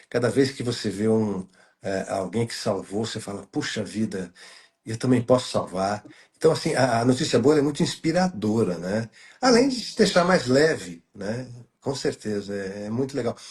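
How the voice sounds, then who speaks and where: Lively intonation from a man with a somewhat breathy, medium-pitched voice at a moderate pace. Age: 60s. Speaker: journalist, good-news site creator. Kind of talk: casual chat. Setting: live stream video call. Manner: halting, many fillers.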